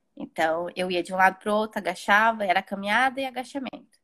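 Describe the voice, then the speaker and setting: With a dry, close sound and no echo, a woman with an unremarkable speaking voice speaks at a moderate pace and medium pitch, her pitch varying in an ordinary way. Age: 30s. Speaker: mother sharing birth story. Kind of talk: personal testimony.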